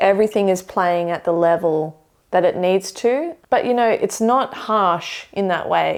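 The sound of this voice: Speaking at a fairly slow pace, a woman has a medium pitch, a slightly mellow tone and ordinary pitch variation.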